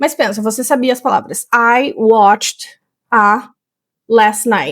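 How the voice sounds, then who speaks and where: A woman with a high-pitched voice speaks very slowly on a very clean recording with a silent background. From Rio Grande do Sul, Brazil. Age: 30s. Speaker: English teacher. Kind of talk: tutorial.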